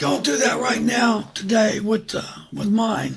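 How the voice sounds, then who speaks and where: A man talks very slowly in a high pitch while noticeable background noise carries on. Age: 70s. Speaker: business founder and former military officer. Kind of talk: interview.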